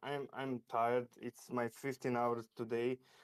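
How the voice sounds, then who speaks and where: In a dry, close sound with no echo, a man with a non-native accent talks at a moderate pace. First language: not English. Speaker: crypto trader. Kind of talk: casual chat. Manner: halting.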